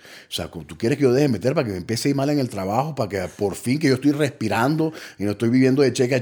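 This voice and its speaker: A man with a dark, mellow tone and vocal fry talks at a very fast pace with lively intonation. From Colombia. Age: 30s. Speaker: recovering addict. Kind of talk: testimony. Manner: halting.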